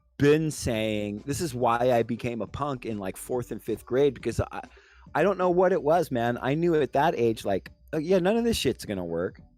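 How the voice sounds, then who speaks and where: A man speaks at medium pitch with lively intonation. His pace is moderate, with music in the background. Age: 40s. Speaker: political chat show host. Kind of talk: casual political discussion. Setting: online video call livestream. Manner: halting, many fillers.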